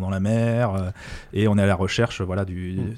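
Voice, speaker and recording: A man speaks in a fairly low, flat monotone on a very clean recording with a silent background. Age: 30s. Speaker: podcast guest. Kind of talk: casual chat.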